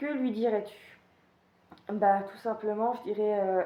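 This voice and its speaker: A woman speaks in a medium pitch. Her intonation stays fairly even. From Paris region, France. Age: 20s. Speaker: YouTuber. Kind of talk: casual Q&A monologue. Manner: hesitant, many fillers.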